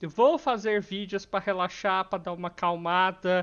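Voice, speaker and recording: Against a quiet background, a man with a high pitch speaks with ordinary pitch variation. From Brazil. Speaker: gaming YouTuber. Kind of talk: angry rant, venting about family and politics, then closing apology. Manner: irritated, stressed, rising frustration when talking about family; downcast, sad, apologetic. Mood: stressed but calm, apologetic. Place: home room. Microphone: headset.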